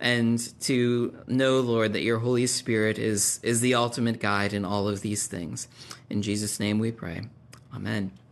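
A man speaks at a fairly slow pace in a monotone, flat intonation. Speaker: pastor leading Bible class. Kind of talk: prayer then class talk. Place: classroom.

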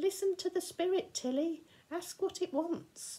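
Squeaky and extremely high in pitch, a woman's put-on character voice moves at a moderate pace. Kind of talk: story read-aloud. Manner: eerie, strange.

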